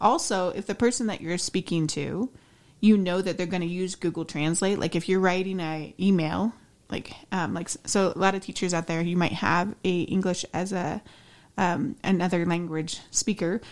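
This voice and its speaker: In an ordinary speaking voice, a woman with an American accent speaks at a moderate pace and medium pitch with fairly even intonation. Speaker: podcast co-host. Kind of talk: casual chat.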